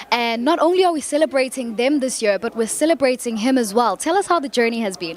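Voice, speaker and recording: A woman's high voice at a very fast pace, with hardly any pauses and lively intonation, over noticeable background noise. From South Africa. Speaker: red carpet interviewer. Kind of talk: red carpet interview. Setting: red carpet at gala event.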